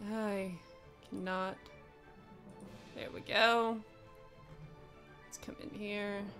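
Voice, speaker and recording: Music plays in the background as a woman speaks very slowly. She has an American accent and a medium pitch. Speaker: video game streamer. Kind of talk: casual gameplay commentary.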